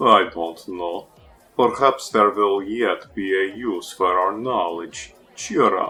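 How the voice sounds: A man in a put-on character voice, low-pitched with a slightly husky edge, bright and sharp in tone, slow pace, ordinary pitch variation, faint music in the background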